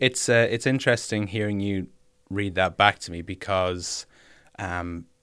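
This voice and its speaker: The recording is very clean, with a silent background. A man talks at a moderate pace with a fairly low pitch and ordinary pitch variation. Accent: Irish. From Ireland, Kilkenny. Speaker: musician. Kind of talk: personal testimony.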